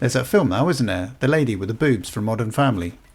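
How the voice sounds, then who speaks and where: A man talks at a very fast pace with a British accent. His medium-pitched voice has vocal fry. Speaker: gaming YouTuber. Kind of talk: comedic game commentary.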